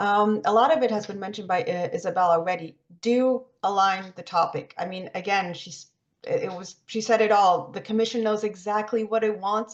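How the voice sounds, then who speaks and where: A woman talks at a fairly quick pace and medium pitch with ordinary pitch variation. Her loudness swings widely. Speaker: webinar presenter on research funding. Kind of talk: webinar presentation. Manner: fast.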